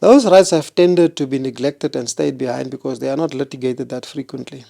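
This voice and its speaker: In a South African accent, the voice has a dark, mellow tone and ordinary pitch variation at a very fast pace. The sound is dry and close, without echo. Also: man. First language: Afrikaans. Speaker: constitutional court judge. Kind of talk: interview.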